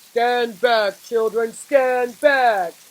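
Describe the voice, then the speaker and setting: The speaker uses a put-on character voice pitched fairly high. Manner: commanding.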